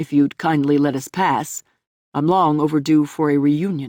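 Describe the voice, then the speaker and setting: A put-on character voice at a moderate pace, low-to-middle pitch, in a very clean recording with a silent background. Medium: read story. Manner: completely calm.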